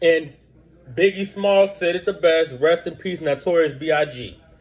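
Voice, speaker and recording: Loud and high-pitched, a man speaks at a fairly slow pace with ordinary pitch variation. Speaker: book review vlogger. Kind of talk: book review with reading aloud and commentary. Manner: animated.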